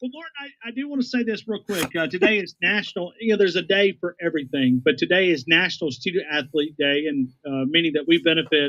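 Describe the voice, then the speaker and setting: A man's high-pitched, bright, sharp voice at a very fast pace, with hardly any pauses and very wide pitch swings. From North Alabama. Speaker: sports radio co-host. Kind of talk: sports talk radio chat.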